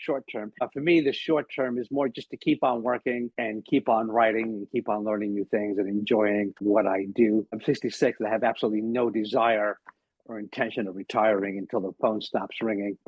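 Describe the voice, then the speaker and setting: A man with an American accent talks in an unremarkable speaking voice at a medium pitch. His intonation is fairly even, and he leaves hardly any pauses. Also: fairly quick pace. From New York, Long Island. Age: 60s. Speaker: comedian. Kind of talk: casual chat.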